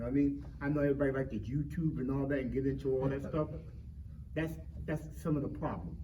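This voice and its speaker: With audible room echo and noticeable background noise, a man speaks in an animated tone at a fairly quick pace. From Philadelphia, North Philly. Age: 60s. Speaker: community panelist. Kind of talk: panel discussion. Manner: animated, repetitive.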